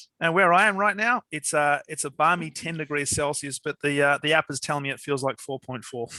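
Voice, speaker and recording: A man with an Australian accent talks at a fairly quick pace, hardly pausing, in a bright, sharp tone. The recording is very clean and dry, close with no echo, against a silent background. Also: fairly high pitch for a man, ordinary pitch variation. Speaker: podcast host. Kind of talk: interview podcast.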